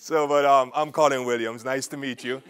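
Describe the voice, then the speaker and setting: A fairly high-pitched man with an Antiguan accent. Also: very clean recording, silent background. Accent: Antiguan Caribbean, close to Jamaican. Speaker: film producer and entrepreneur. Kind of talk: lecture.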